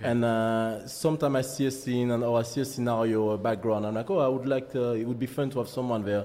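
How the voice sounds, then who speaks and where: Words rush out at a very fast pace in a strong French accent. The intonation stays fairly even. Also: man, medium pitch for a man, very even loudness. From Martinique. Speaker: photographer. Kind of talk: interview. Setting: studio. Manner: halting.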